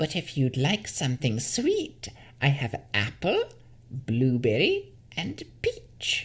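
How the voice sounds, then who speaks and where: This put-on character voice sounds creaky and sits at a low-to-middle pitch. It moves at a fairly slow pace. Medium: read story. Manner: sugary, wheedling.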